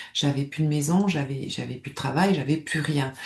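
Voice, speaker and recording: In a southern French accent, a woman speaks with a dark, mellow tone, somewhat breathy, with ordinary pitch variation. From southern France, Nice. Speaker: stress management coach, former nurse. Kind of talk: personal testimony to camera. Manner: hesitant, many fillers and repetitions.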